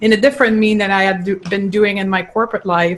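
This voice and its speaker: This woman has a medium-pitched voice with a slight Quebec accent. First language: French. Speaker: clinical nutritionist. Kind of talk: interview.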